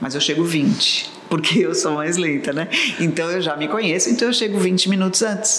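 Over noticeable background noise and audible room echo, a woman talks at a moderate pace and medium pitch with ordinary pitch variation. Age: 60s. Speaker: English teacher and cruise tour guide. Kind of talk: casual chat.

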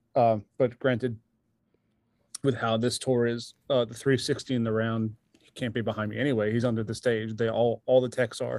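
At a moderate pace, a man speaks in a flat monotone while his loudness swings widely. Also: medium pitch for a man. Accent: American. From New York, Long Island. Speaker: touring drummer. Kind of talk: casual chat.

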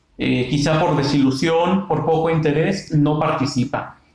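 Audible room echo surrounds a man speaking at a fairly slow pace in a fairly high pitch. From Mexico, Michoacán. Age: 20s. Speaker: university lecturer and civil servant. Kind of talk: interview.

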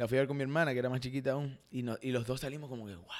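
The speaker is a man with a medium-pitched voice. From Argentina, Rosario. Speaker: content creator and actor. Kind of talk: casual chat.

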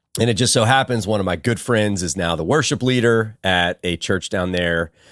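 Lively intonation in an American accent at a moderate pace, in a very clean recording with a silent background. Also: man. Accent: Texan, though some doubt it. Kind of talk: casual Bible study conversation.

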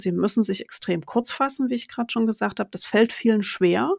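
A woman talks in an ordinary speaking voice at medium pitch with ordinary pitch variation. The recording is very clean, with a silent background. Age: 40s. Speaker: teacher. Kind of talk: casual interview.

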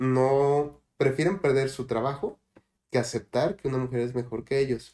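Here a man talks at a fairly slow pace with ordinary pitch variation. His voice is medium in pitch with a dark, mellow tone. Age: 20s. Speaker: agronomist. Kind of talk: panel discussion.

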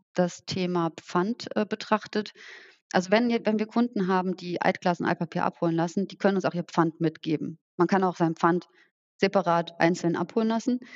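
Moderate pace and ordinary pitch variation in a woman's fairly low-pitched voice. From rural Germany. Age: 30s. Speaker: social entrepreneur. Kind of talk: interview.

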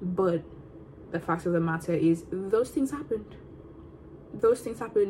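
A woman's somewhat breathy voice with a dark, mellow tone, medium pitch and lively intonation, moderately paced with long, frequent pauses. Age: 20s. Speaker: podcast host, student. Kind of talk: casual solo vlog-style chat. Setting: at home, eating on camera. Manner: casual, rambling with fillers.

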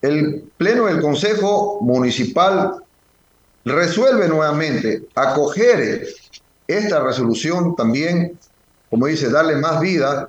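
Talking at a very slow pace, a man lets his pitch swing very widely. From Ecuador, Galápagos Islands. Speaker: mayor. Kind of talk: phone interview.

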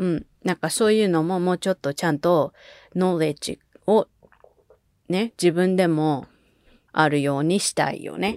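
In an animated tone, a woman with a fairly low pitch and ordinary pitch variation talks at a moderate pace with long, frequent pauses, in a dry, close sound with no echo. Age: 20s. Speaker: podcast co-host. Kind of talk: casual chat. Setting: remote recording over video call. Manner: animated, laughing often.

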